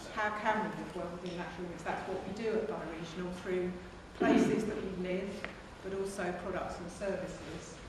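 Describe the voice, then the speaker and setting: A woman talking at a fairly quick pace, with strong room echo and noticeable background noise. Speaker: conference presenter. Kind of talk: lecture. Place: hall. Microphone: camera far.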